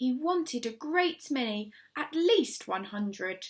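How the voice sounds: A woman's slow, lively-toned delivery with a slightly husky edge.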